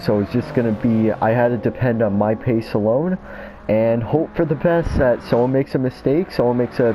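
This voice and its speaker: Noticeable background noise sits behind a man's voice. He has a medium pitch and speaks at a moderate pace. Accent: American. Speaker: sim racing gamer, commentating own race. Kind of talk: casual race replay commentary. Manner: casual, many filler words.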